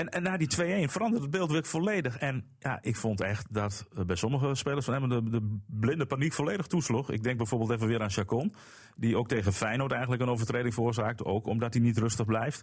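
A man's medium-pitched, somewhat breathy voice at a fairly quick pace, with ordinary pitch variation and hardly any pauses. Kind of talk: casual chat.

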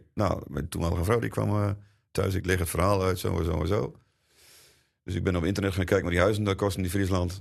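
Against a quiet background, a man with a very deep, low voice and vocal fry talks at a fairly quick pace with fairly even intonation. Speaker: drummer. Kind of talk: interview.

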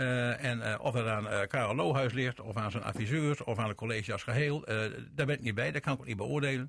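A man's normal speaking voice at a medium pitch, with ordinary pitch variation, a fairly quick pace and hardly any pauses. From Veenkoloniën, Groningen/Drenthe. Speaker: former party chair, radio panelist. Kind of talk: radio panel discussion.

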